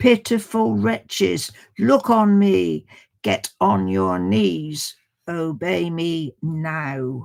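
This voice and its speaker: A guttural put-on character voice at a middle pitch, very slow pace, and very wide pitch swings, in a very clean recording with a silent background. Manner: thunderous, commanding, disdainful.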